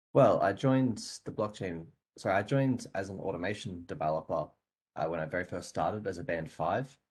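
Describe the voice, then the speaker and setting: A man's fairly low voice with ordinary pitch variation, an Australian accent, a fairly quick pace, a somewhat breathy quality and a quiet background. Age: 20s. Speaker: software developer. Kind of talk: interview.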